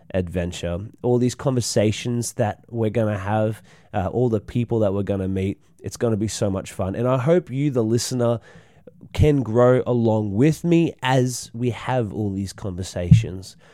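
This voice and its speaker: With an Australian accent, a man speaks at a moderate pace and medium pitch in a dark, mellow tone. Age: 20s. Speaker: podcast host and snake catcher. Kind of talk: casual solo monologue. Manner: halting, many fillers.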